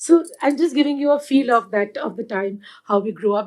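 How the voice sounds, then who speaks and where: Speaking at a moderate pace, a woman talks with a Punjabi accent. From India, Delhi. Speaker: activist and first responder. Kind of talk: panel talk, personal testimony. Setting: live event with audience. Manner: halting, many fillers.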